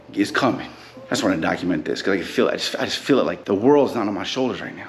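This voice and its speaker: Music plays in the background, with audible room echo. A man speaks at a very fast pace with ordinary pitch variation. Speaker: rapper and music coach. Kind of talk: casual vlog monologue. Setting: handheld camera. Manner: relaxed.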